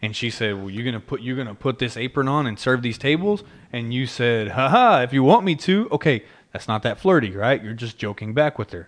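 With an American accent, a man talks fairly quickly in a normal speaking voice, medium in pitch, with lively intonation. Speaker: podcast host. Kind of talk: casual chat.

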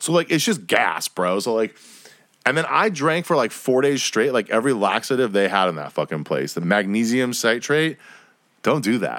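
A man speaks at a moderate pace with an animated tone, vocal fry and very wide pitch swings. The recording is very clean with a silent background. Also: medium pitch for a man. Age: 30s. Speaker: solo podcast host. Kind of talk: casual monologue.

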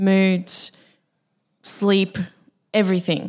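Medium pitch from a woman, with an Australian accent. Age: 20s. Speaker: podcast co-host. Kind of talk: casual chat.

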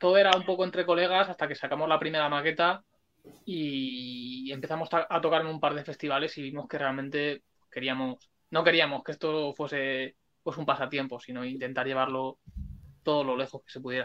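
The speech comes at a fairly quick pace with fairly even intonation. The loudness swings a lot. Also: man, fairly high pitch for a man. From Spain (Alicante). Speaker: punk rock musician. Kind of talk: interview. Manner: talkative.

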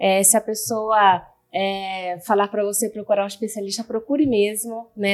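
A woman's normal speaking voice, fairly high and fairly even in intonation, at a moderate pace. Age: 30s. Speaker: communications analyst and patient. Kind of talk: personal testimony. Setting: studio.

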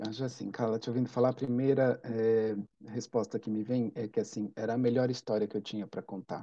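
This man talks at a fairly quick pace in a medium pitch, his intonation monotone and flat. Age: 40s. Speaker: writer and psychoanalyst. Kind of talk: interview conversation.

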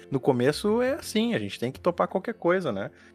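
With music in the background, a man speaks at a fairly quick pace using lively intonation. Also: dry, close sound with no echo. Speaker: podcast host. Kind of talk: interview.

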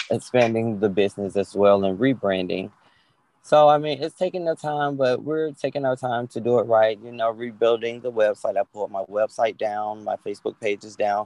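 Recorded dry and close with no echo, a man with an American accent uses a plain, everyday voice at a moderate pace, medium in pitch with ordinary pitch variation and big swings in loudness. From Atlanta, Georgia, US South. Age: 30s. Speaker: minister. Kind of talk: interview.

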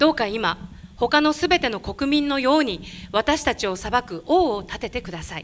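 A woman's high-pitched, animated voice with lively intonation at a moderate pace, on a very clean recording with a silent background. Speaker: interpreter. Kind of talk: sermon interpreting. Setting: church.

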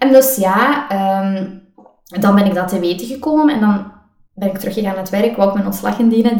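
Fairly quick in pace, a woman speaks at a medium pitch in a Limburg accent. Room echo is audible. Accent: Limburg Flemish. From Belgian Limburg (Riemst, Beverlo). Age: 30s. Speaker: coach, podcast co-host. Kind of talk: casual interview chat.

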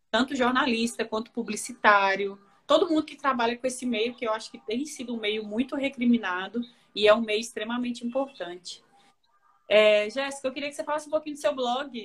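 Her voice high, a woman talks at a fairly quick pace with ordinary pitch variation and big swings in loudness. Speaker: journalist and interview host. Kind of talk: casual interview on a live stream. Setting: Instagram live video call.

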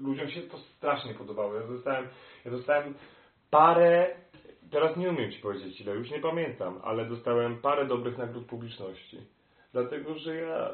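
Speaking at a fairly quick pace and a medium pitch, a man shows ordinary pitch variation and big swings in loudness, with audible room echo. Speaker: opera singer. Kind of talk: interview. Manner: halting.

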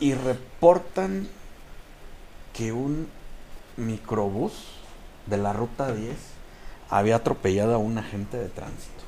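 A man with a Mexican accent speaks at a very slow pace with long, frequent pauses. His voice has a dark, mellow tone, medium pitch, and ordinary pitch variation. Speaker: podcast guest storyteller. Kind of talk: casual storytelling.

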